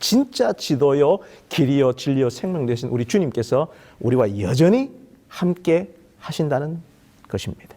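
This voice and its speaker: With a Gyeongsang accent, a man of fairly high pitch speaks at a fairly slow pace in a dark, mellow tone, using lively intonation and long, frequent pauses. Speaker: pastor. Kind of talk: sermon. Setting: online worship service. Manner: formal.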